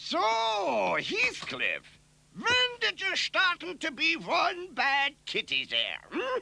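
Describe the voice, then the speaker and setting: A man in a cartoonish character voice, extremely high-pitched and very slow. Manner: cooing, sing-song.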